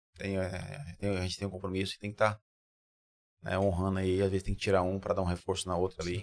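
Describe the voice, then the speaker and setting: On a very clean recording with a silent background, a man with a very deep, low pitch speaks very fast in a flat monotone. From interior of São Paulo state, Brazil. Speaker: builder. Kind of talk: podcast interview.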